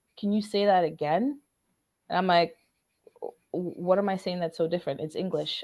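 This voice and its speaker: A woman's voice at a moderate pace. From Trinidad. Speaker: talk series host. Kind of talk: interview conversation. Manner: casual, conversational.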